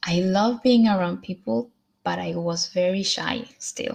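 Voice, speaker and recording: A woman with a Spanish accent speaks at a very slow pace. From Colombia, then US, Sweden and South America. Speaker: motivational vlogger. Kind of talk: motivational talk to camera, livestream. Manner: hesitant, many fillers.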